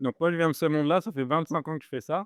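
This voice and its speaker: A man talks at a very fast pace with fairly even intonation. The sound is dry and close with no echo, and the background is quiet. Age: 40s. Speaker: startup founder. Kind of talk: talk to live audience. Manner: casual, hesitant with many fillers.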